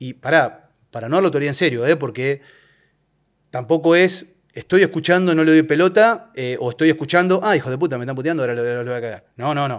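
In an Argentine accent, a man talks at a very fast pace with big swings in loudness over a quiet background. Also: ordinary pitch variation. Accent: Rioplatense Argentine Spanish. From Argentina, La Plata; Argentina. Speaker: football referee; guest. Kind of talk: casual interview chat. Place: studio. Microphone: studio mic.

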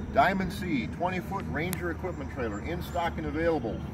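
A man talks at a moderate pace with a dry sound and no echo. Loud background noise runs behind him. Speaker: trailer salesman. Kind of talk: product walkaround presentation. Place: street.

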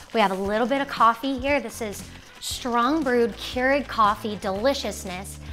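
Faint music plays in the background as a woman speaks at a moderate pace with ordinary pitch variation. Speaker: cooking show host. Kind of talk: casual cooking tutorial chat. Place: kitchen. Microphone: lapel.

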